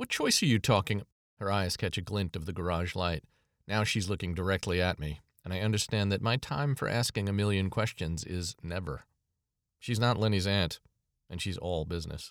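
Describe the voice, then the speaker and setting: A plain, everyday voice moves at a moderate pace on a very clean recording with a silent background. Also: man. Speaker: author and narrator. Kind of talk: scripted first-person fiction narration, read aloud.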